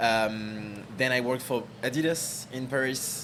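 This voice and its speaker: A man with ordinary pitch variation, amid audible room echo and noticeable background noise. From French Caribbean. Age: 30s. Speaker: marketing director. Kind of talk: interview.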